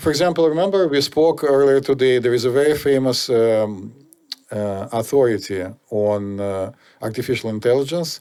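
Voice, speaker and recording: Talking at a fairly slow pace, a man with a Russian accent has a medium pitch, a dark, mellow tone and ordinary pitch variation. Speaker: podcast host. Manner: hesitant, many fillers.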